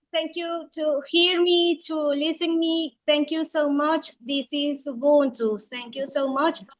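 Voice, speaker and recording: A woman with a Spanish accent talks at a fairly slow pace with hardly any pauses, using a high pitch and fairly even intonation. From Venezuela. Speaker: community member. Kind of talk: video call question. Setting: video call.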